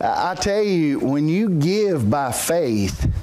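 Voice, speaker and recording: Very slow in pace and full of very wide pitch swings, a man's voice comes through noticeable background noise. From Brazil. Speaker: missionary preacher. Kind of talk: sermon. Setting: church. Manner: loud.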